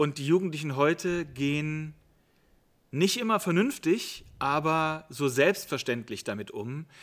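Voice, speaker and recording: A man speaks at a fairly slow pace with a fairly high pitch. The recording is very clean, with a silent background. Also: lively intonation. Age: 50s. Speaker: youth worker. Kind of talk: interview. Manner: hesitant fillers.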